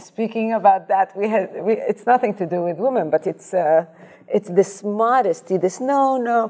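Woman's dark, mellow voice at medium pitch and a moderate pace, with ordinary pitch variation. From Iraq, raised in Amsterdam. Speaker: dentist. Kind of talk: panel discussion.

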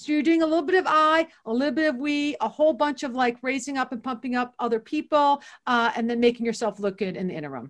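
Against a quiet background, a woman with an American accent talks at a very fast pace in a high pitch with lively intonation. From Ohio, Toledo. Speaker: business consultant and author. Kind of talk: casual interview.

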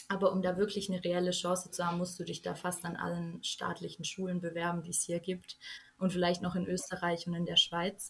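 A woman speaks at a fairly low pitch and a fairly quick pace, somewhat breathy. Her intonation is monotone and flat. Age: young. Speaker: journalism student, recent school graduate. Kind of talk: casual interview.

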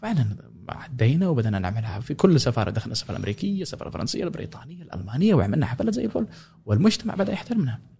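Somewhat breathy with a dark, mellow tone, the voice races at a very fast pace through very wide pitch swings. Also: man, medium pitch for a man. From Yemen, Sanaa. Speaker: oud player and musician. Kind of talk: casual interview.

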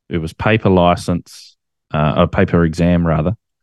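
Someone with an Australian accent speaks at a fairly slow pace in a dry, close sound with no echo. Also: man. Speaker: ham radio operator and YouTuber. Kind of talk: casual interview chat.

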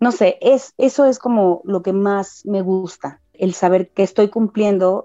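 A woman with a medium pitch and a dark, mellow tone talks at a fairly slow pace with hardly any pauses, ordinary pitch variation and a dry, close sound with no echo. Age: 30s. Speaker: spiritual medium. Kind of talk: casual interview.

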